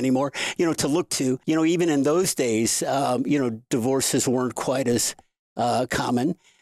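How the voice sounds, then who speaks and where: A man with an American accent and a plain, everyday voice talks at a moderate pace and a fairly high pitch with ordinary pitch variation. The sound is dry and close, with no echo. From US Midwest, St. Louis, Missouri. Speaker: sex coach and author. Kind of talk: interview conversation.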